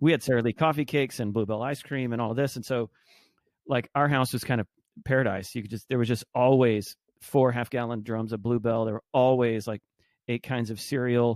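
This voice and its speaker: An unremarkable speaking voice, a man with an American accent, medium pitch, fairly even intonation and a fairly quick pace, in a very clean, dry, close recording with no echo and a silent background. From Texas, Arlington (Dallas-Fort Worth). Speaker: entrepreneur. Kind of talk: casual interview.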